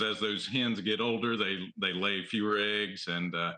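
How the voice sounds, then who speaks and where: Here a man speaks with a Southern accent at a moderate pace. His fairly low voice stays monotone and flat. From US South, the Carolinas. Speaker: egg farmer. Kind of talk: TV news interview. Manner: halting, many fillers.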